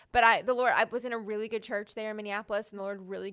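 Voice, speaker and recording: On a very clean recording with a silent background, a woman with a Texas accent speaks at a medium pitch with fairly even intonation. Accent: Southern US (Texas). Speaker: Bible teacher and writer. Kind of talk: casual interview about faith.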